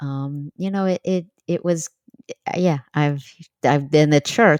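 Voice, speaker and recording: A woman's American accent at a moderate pace, fairly even in intonation, with a dry, close sound and no echo. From New York City. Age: 60s. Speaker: author and cult survivor. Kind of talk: podcast interview.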